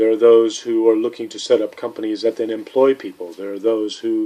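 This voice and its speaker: A man with an American accent, a dark, mellow tone and fairly even intonation. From USA. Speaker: entrepreneur vlogger. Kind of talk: casual monologue vlog. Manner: halting, frequent repetitions and false starts.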